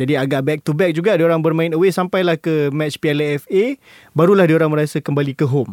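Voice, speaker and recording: Speaking at a very fast pace, a man with a fairly high pitch and ordinary pitch variation comes through in a dry, close sound with no echo. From Malaysia, Kuala Lumpur. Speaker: football podcast co-host. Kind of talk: casual chat.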